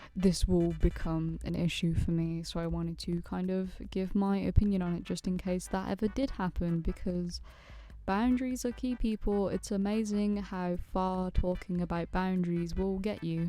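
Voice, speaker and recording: A soft-spoken woman talks at a moderate pace. The recording is very clean, with a silent background. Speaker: animator and YouTuber. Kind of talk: casual vlog commentary.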